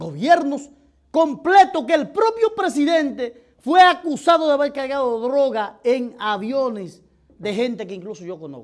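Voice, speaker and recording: An animated man with a Dominican accent at an extremely high pitch, a fairly slow pace, very wide pitch swings, and big swings in loudness, over a quiet background. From Dominican Republic. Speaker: political commentator. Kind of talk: opinion commentary. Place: studio. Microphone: lapel.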